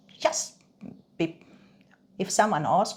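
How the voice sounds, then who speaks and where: Somewhat breathy and with a slight Swedish accent, a woman speaks at a fairly slow pace on a very clean recording with a silent background. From Sweden. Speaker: reflexologist. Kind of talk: interview. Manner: halting, many fillers and repeats.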